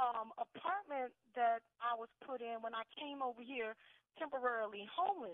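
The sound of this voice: Someone with an American accent speaks at a moderate pace with ordinary pitch variation, the sound dry and close with no echo. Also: woman, fairly high pitch for a woman.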